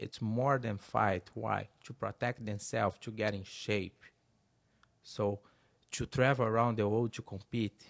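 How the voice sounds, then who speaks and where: A man with a Brazilian Portuguese accent and a medium pitch, at a fairly slow pace, against a quiet background with a dry, close sound and no echo. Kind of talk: interview.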